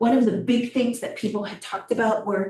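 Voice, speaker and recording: Her tone dark and mellow, a woman talks at a moderate pace in a somewhat breathy voice. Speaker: public health presenter. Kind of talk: presentation.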